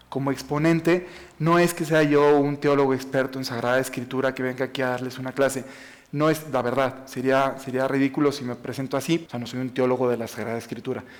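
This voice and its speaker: A man speaks with a Mexican accent at a fairly quick pace. His medium-pitched voice keeps a fairly even intonation. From Mexico, Jalisco/Aguascalientes. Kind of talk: talk to an audience. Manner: fast.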